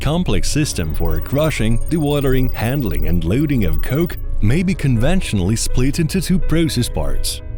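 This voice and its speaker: A man talks at a moderate pace with hardly any pauses. His loudness is very even, and music plays in the background. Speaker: voice-over announcer. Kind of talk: corporate narration.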